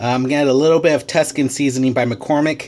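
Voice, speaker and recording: A man's voice over noticeable background noise. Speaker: home cooking show host. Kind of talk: cooking tutorial. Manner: hesitant, many fillers; casual.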